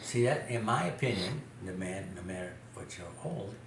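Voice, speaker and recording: A man with an American accent talks at a fairly slow pace. Background noise is noticeable. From Chicago. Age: 80s+. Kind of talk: interview answer. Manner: hesitant, repeats words.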